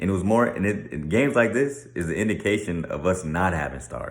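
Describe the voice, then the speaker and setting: With audible room echo around him, a man speaks at a very deep, low pitch with very wide pitch swings. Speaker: sports commentator. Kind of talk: casual monologue.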